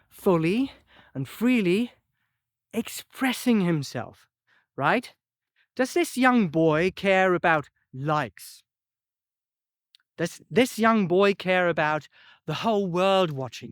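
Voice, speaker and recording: With a German accent and high pitch, a man speaks at a very slow pace, with long, frequent pauses, lively intonation and big swings in loudness. The sound is dry and close with no echo, in a very clean recording with a silent background. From German-speaking country. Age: 40s. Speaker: composer. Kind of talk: personal video monologue.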